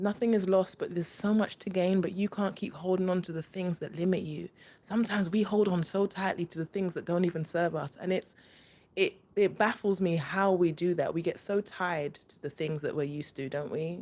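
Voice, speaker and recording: Here a woman talks at a fairly quick pace in a London accent. Her pitch sits in the medium range. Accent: London English, multicultural London. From East London, England. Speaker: spiritual reader, channel host. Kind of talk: live stream spiritual talk with viewers. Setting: live stream. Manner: casual, animated.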